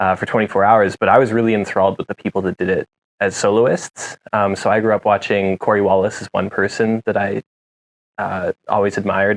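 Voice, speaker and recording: Speaking with a western Canadian accent, a man talks at a fairly quick pace and fairly low pitch with monotone, flat intonation. The sound is dry and close, with no echo. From Canada, Jasper, Alberta. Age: 20s. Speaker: mountain bike racer. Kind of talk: interview. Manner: hesitant, many fillers.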